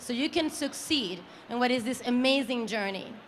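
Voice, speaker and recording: Audible room echo surrounds a woman speaking at a moderate pace in a high pitch, her pitch varying in an ordinary way. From Italy. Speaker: company founder and CEO. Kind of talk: awards presentation speech. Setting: stage with live audience.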